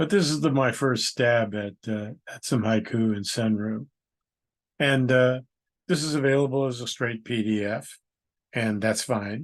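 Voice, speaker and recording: A man talks at a fairly slow pace in a plain, everyday voice, medium in pitch. His pitch variation is ordinary, and the background is quiet. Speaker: poet reading his own haiku. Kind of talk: poetry reading with casual commentary.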